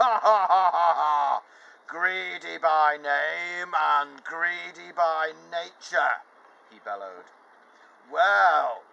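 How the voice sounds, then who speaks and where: Raised and projected, a booming put-on character voice delivers its lines at a very slow pace. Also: man. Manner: booming, laughing.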